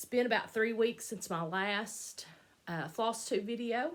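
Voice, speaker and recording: At a fairly slow pace, a woman speaks in a bright, sharp tone at a fairly high pitch with ordinary pitch variation, on a very clean recording with a silent background. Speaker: cross stitch vlogger. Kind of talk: casual vlog chat. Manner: hesitant, many fillers.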